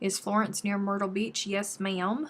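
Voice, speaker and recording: A somewhat breathy woman with an American accent, at a moderate pace with fairly even intonation. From South Carolina. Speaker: crochet YouTuber. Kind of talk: casual live-stream chat while crafting. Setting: YouTube live stream.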